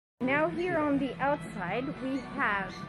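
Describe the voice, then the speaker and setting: A woman talks very slowly while clear music plays behind her. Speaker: travel vlogger. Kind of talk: casual vlog chat. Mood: excited, delighted. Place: cafe. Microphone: phone near.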